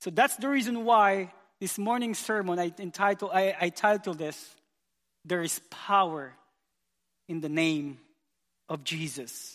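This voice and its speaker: A man's high-pitched voice with lively intonation, a fairly slow pace and long, frequent pauses. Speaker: youth pastor. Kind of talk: sermon. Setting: church. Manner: passionate.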